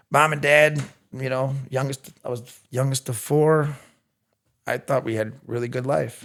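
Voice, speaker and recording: The speaker has a strong Chicago accent and a monotone, flat intonation. Delivery is fairly slow, with long, frequent pauses. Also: man, medium pitch for a man. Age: 40s. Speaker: recovering addict sharing his story. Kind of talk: personal testimony. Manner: loud.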